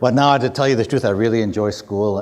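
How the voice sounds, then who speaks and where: His speech goes at a very fast pace. The man's pitch shows ordinary variation. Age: 50s. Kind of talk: public talk. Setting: university hall with audience. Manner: casual, conversational with many fillers.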